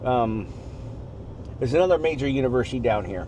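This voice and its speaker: A medium-pitched male voice at a fairly quick pace, with audible room echo. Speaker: driver and tour guide. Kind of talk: casual chat. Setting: in a car. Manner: fast.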